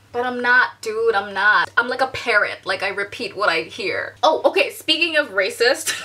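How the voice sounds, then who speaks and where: A woman's high voice with very wide pitch swings at a moderate pace over noticeable background noise. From Bangladesh, raised also in US and Korea. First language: Bangla. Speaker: vlogger. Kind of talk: vlog monologue.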